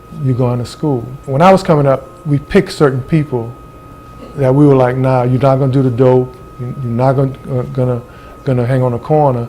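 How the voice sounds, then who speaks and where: Against noticeable background noise, the talking goes fairly quickly, its intonation fairly even. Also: man, medium pitch for a man. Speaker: interviewee. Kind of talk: documentary interview.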